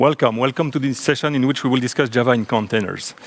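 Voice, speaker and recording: A man with a French accent talks at a fairly quick pace in a medium pitch, his intonation fairly even. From French-speaking Belgium. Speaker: software engineer and conference speaker. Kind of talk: technical conference talk. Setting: stage with audience.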